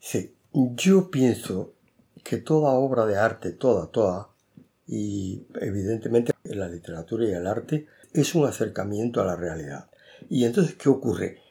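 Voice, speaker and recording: The voice has a dark, mellow tone and very wide pitch swings at a fairly slow pace. The recording is very clean, with a silent background. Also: man, medium pitch for a man. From Cuba. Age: 70s. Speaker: author. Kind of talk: interview.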